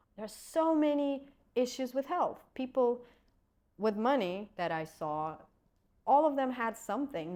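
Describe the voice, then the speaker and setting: Speaking with a Russian accent, a woman uses lively intonation at a moderate pace in a very clean recording with a silent background. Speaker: acupuncturist and energy healer. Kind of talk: podcast interview.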